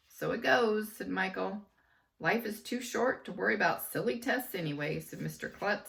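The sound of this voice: The clip features an unforced reading voice.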